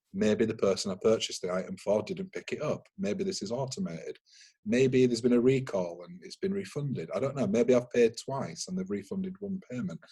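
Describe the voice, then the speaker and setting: With a Yorkshire accent, a man talks at a fairly quick pace in a medium pitch, with a dark, mellow tone and a somewhat breathy quality. His pitch swings very wide, and his loudness swings a lot too. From Yorkshire, northern England. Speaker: cyber security consultant. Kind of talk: webinar interview.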